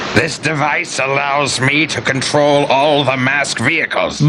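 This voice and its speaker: A man's put-on character voice at a fairly high pitch and fairly slow pace, amid loud background noise. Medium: read story. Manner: gloating, menacing.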